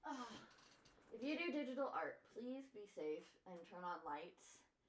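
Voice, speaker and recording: A woman with an American accent talks at a fairly slow pace and fairly high pitch. Her pitch swings very widely, and the room echo is audible. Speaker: art streamer. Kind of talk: casual chat. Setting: live stream.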